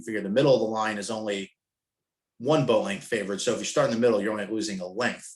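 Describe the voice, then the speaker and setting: With ordinary variation in his pitch, a man's voice stays at a medium level. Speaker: sailing coach presenter. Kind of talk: webinar presentation. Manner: fast; casual.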